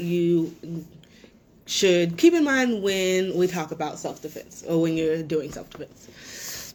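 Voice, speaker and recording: A woman with an ordinary speaking voice talks at a fairly slow pace, her pitch fairly low and her pitch variation ordinary. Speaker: self-defense instructor. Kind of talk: webinar presentation. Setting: online webinar. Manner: many filler words.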